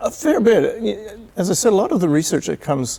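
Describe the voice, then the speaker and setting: This is a man talking with a Canadian accent. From Canada. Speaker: volunteer city tour guide. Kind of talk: TV interview.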